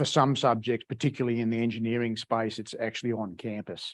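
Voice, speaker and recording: In an Australian accent, a man speaks at a medium pitch with monotone, flat intonation. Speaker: agricultural engineering researcher. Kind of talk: lecture. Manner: halting, many repetitions and fillers.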